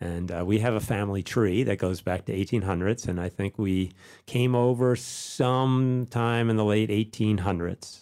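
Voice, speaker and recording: A man speaks in an unremarkable speaking voice, fairly low in pitch with ordinary pitch variation, at a fairly slow pace. The recording is very clean, with a silent background. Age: 60s. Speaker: folk musician. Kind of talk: interview.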